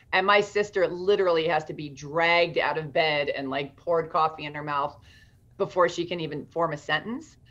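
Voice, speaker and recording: A plain, everyday voice from a woman, pitched fairly low, its intonation fairly even. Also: fairly quick pace. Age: 50s. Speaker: author and success coach; success coach. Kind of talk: interview. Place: home room. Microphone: webcam.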